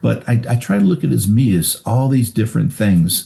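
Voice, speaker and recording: A man speaks at a moderate pace with an American accent. His intonation is lively, with some vocal fry. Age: 60s. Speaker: retired highway patrol officer. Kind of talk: interview.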